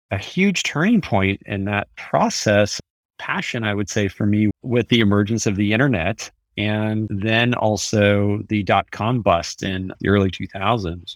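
Recorded very cleanly against a silent background, with a dry, close sound and no echo, a man with a Californian accent speaks at a fairly slow pace with a fairly low pitch and ordinary pitch variation. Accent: General American (Californian). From US West Coast (San Francisco Bay Area). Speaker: tech company CEO and author. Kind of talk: interview.

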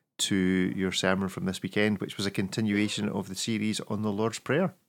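Recorded very cleanly against a silent background, a man with a Scottish accent speaks with a fairly low pitch and fairly even intonation. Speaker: podcast host. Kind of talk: casual chat.

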